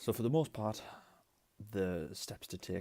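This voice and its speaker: A man with a British accent. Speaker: retro console restorer. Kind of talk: tutorial talk to camera. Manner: casual, chatty.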